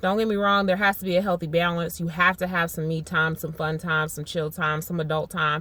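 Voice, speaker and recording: This woman has a bright, sharp tone at a fairly low pitch, with ordinary pitch variation. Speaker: vlogger. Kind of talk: casual vlog update. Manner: fast.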